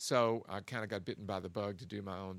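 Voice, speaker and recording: An American accent marks this man's speech. His pitch is very deep and low. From Kentucky, US. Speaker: guitarist and recording artist. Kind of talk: interview.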